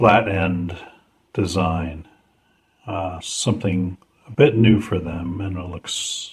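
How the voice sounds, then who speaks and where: At a very slow pace, a man speaks in a fairly low, somewhat breathy voice. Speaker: fountain pen reviewer and seller. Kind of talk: product review talk to camera. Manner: casual, unhurried.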